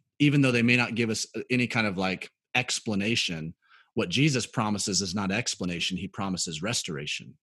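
This man has an unremarkable speaking voice with an American accent and a fairly low pitch. He speaks at a fairly quick pace with lively intonation. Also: quiet background. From US South, Birmingham, Alabama. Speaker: pastor. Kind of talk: interview testimony.

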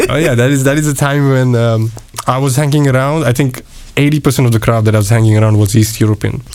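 At a very fast pace, a man with a medium pitch keeps his loudness very even and his intonation fairly even. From India (west). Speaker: food truck owner and cooking teacher. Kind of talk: casual interview chat. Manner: friendly, laughs often.

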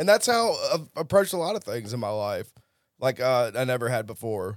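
In a Southern US accent, a man of medium pitch speaks at a moderate pace with very wide pitch swings, on a very clean recording with a silent background. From US South (Tennessee, then Jackson, Mississippi). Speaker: person in addiction recovery. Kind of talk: personal testimony.

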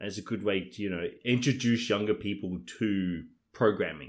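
On a very clean recording with a silent background, a man with a plain, everyday voice speaks at a moderate pace, his fairly low pitch showing ordinary pitch variation. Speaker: podcast co-host. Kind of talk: casual chat.

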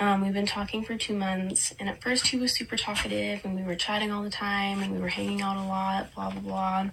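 Moving at a fairly quick pace, a woman speaks with noticeable background noise behind her. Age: 20s. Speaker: paramedic student. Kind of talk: submitted video question.

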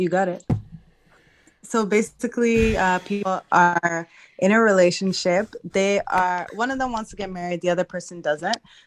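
A woman speaks in a normal speaking voice at a medium pitch. Her pace is moderate and her intonation fairly even. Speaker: audience participant sharing context. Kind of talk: casual chat. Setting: live audio room, unmuted from audience.

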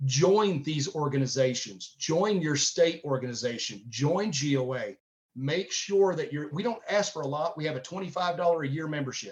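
Speaking fairly slowly with a Southern US accent, a man with a fairly high voice uses lively intonation. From Tennessee. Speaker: gun-rights organization director. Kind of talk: interview.

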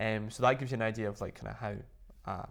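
Speaking with a Scottish accent, a man has a medium pitch. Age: 20s. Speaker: luxury accessory designer and former golfer. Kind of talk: casual interview. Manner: animated.

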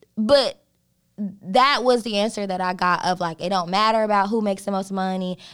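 A woman talks at a fairly quick pace in a normal speaking voice with a medium pitch. Her intonation is fairly even, and the recording is very clean with a silent background. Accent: American. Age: 20s. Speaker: podcast co-host. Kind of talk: casual chat.

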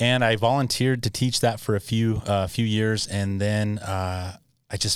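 This very clean recording has a silent background. A fairly low-voiced man talks in an American accent. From southern Utah, US. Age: middle-aged. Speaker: shooting range owner and prevention specialist. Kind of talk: interview. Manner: halting.

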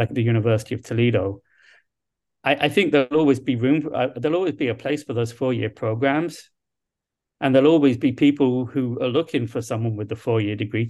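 A man talks at a very fast pace with a southern English accent and a medium pitch. His pitch varies in an ordinary way against a quiet background. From London, England. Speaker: university dean. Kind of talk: interview. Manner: halting.

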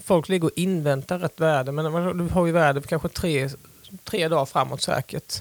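A man with an ordinary speaking voice talks at a moderate pace with a fairly high pitch and fairly even intonation. The recording is very clean with a silent background and a dry, close sound with no echo. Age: 40s. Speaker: sailor, small business owner. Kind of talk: interview. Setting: studio.

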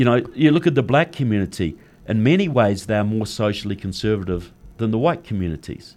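Against a quiet background, a man with a New Zealand accent speaks fairly quickly at a fairly low pitch with lively intonation. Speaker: author and political activist. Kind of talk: interview. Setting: studio.

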